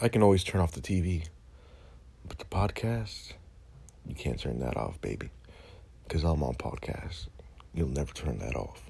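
A man's voice sits at a very deep, low pitch, with vocal fry and very wide pitch swings. He keeps a moderate pace broken by long, frequent pauses. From Dominican heritage. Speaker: podcast host. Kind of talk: comedic political rant. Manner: animated.

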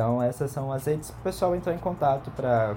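A man's voice rises and falls in an ordinary way while music plays behind him. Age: 30s. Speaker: podcast host. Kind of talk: casual chat.

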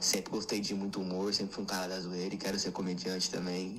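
A man rattles along at a very fast pace with a fairly low pitch. His intonation is monotone and flat over noticeable background noise. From Brazil, São Paulo. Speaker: listener sharing a story, aspiring comedian.

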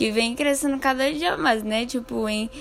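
A woman's voice over noticeable background noise. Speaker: podcast host. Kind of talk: casual podcast interview.

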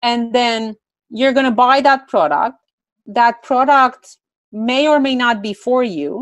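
A woman's high-pitched voice with a Romanian accent, at a very slow pace. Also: ordinary pitch variation. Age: 20s. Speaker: entrepreneur. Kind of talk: interview.

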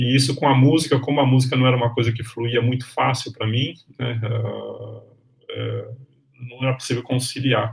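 Here a man speaks at a moderate pace and medium pitch. His intonation is monotone and flat. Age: 60s. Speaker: history professor. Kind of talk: interview. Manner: halting.

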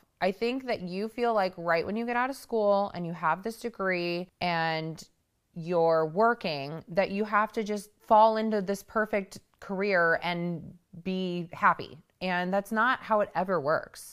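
A woman's medium-pitched voice, a plain, everyday voice, at a fairly slow pace with ordinary pitch variation. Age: 30s. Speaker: podcast host. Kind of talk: solo talk to listeners.

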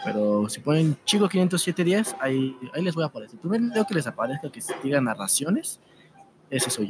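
A man with a Mexican accent speaks at a moderate pace in a fairly high voice, his pitch swinging very widely, with noticeable background noise behind him. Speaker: YouTube narrator. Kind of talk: casual interview.

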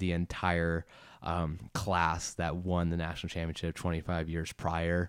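In a very clean recording with a silent background, a man with an American accent speaks at a moderate pace in a very deep, low, monotone voice. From Boston area, US (childhood also abroad). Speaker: lacrosse coach and former college player. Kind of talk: casual interview.

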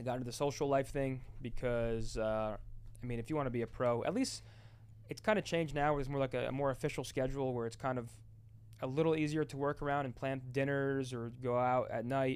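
A man with an American accent speaks at a medium pitch in a plain, everyday voice. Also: fairly quick pace. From New Jersey. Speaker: retired esports player and content creator. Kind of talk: casual chat. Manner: fast, repetitive false starts.

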